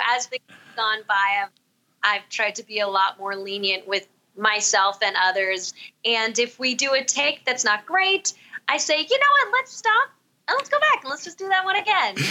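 A woman with an American accent, fairly high in pitch, her voice swinging very widely, at a moderate pace. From Southern California. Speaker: podcast host and singer. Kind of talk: casual interview chat.

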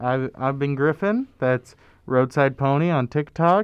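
With an ordinary speaking voice, a man of fairly high pitch talks at a fairly slow pace with ordinary pitch variation. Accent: American. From Lincoln, Nebraska. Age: 20s. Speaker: college student radio DJ. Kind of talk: casual chat.

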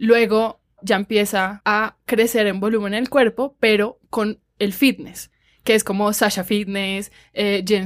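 A woman speaks in an unremarkable speaking voice, pitched fairly high, with fairly even intonation. The recording is very clean, with a silent background. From Colombian Caribbean coast, Cartagena. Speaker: podcast host. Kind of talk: casual chat.

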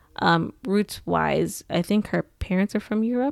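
In an unremarkable speaking voice, a woman talks at a fairly slow pace with ordinary pitch variation, recorded very cleanly against a silent background. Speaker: podcast co-host.

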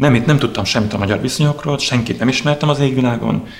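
A man's very fast speech with audible room echo and noticeable background noise. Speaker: drummer. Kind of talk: interview storytelling. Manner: halting.

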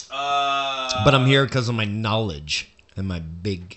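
Putting on a character voice, a man speaks at medium pitch with a nasal, whiny sound. His intonation is lively and his pace fairly slow.

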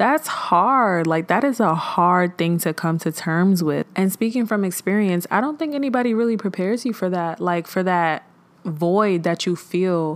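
With a plain, everyday voice, a woman talks at a moderate pace and medium pitch, keeping her loudness very even, her intonation lively and hardly pausing at all. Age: 20s. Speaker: podcast host. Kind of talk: casual solo monologue on mental health. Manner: conversational, filler-heavy.

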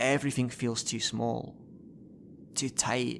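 Flat, monotone intonation marks this man's speech at a medium pitch. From northern England, Newcastle. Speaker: actor and writer. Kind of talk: dramatic monologue performance, then interview.

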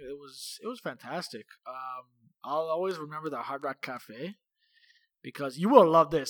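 Speaking with a Canadian accent, a man uses a fairly high pitch, ordinary pitch variation and an ordinary speaking voice on a very clean recording with a silent background. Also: dry, close sound with no echo. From Toronto, Canada. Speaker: podcast co-host. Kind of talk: casual chat.

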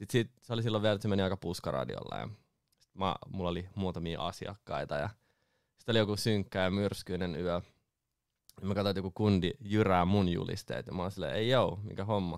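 A man with an ordinary speaking voice talks at a fairly quick pace with a fairly low pitch. His pitch variation is ordinary, and his loudness swings widely. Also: very clean recording, silent background. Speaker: booking agent and DJ. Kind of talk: casual chat. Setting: studio.

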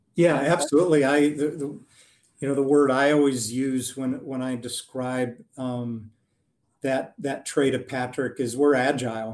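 A medium-pitched man with an Upper Midwest accent, fairly even intonation and a moderate pace. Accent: Upper Midwest American. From US Midwest, Wisconsin. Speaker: engineering firm president. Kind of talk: interview.

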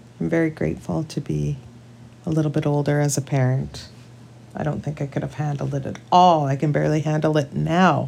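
A woman speaks in a western Canadian accent. Her pace is fairly quick. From British Columbia, Canada. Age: 40s. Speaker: podcast co-host. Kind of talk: casual chat.

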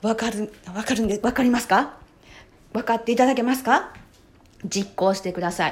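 A woman with a fairly high pitch speaks at a fairly quick pace in an animated tone. Her speech has long, frequent pauses. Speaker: podcast host. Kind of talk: solo monologue podcast. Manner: animated, frequent filler words.

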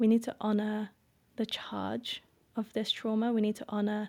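On a very clean recording with a silent background, a woman with a fairly high pitch and a dark, mellow tone speaks fairly slowly with fairly even intonation. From Indonesia, British-Indonesian family. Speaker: breathworker and embodiment facilitator. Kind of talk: interview conversation. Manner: slow, measured with frequent fillers.

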